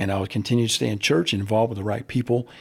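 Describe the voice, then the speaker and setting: Over a very clean recording with a silent background, a man with an American accent speaks at a very fast pace in a somewhat breathy voice. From US South, Central Florida. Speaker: baseball coach. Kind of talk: interview.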